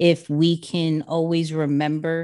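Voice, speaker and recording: A woman speaks with a New York accent against a quiet background. Her pitch is very deep and low. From New York City (Queens). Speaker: social media and personal branding expert. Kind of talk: podcast interview.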